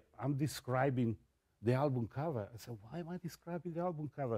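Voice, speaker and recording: The sound is dry and close with no echo as a man speaks with an Italian accent. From Italy. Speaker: photographer and music journalist. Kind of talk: interview storytelling. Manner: halting; animated.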